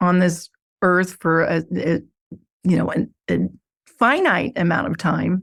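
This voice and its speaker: A woman's calm tone at a medium pitch. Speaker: podcast host. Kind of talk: interview. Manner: animated.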